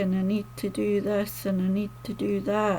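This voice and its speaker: A woman with a slight Scottish accent talks at a fairly slow pace. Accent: mildly Scottish, toned down. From Scotland. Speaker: poet and author. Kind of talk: casual talk to camera.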